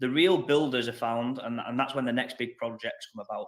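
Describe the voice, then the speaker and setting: A man with a strong northern English accent, medium pitch, lively intonation and a very fast pace, on a very clean recording with a silent background. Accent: thick northern English. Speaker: interviewer. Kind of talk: interview.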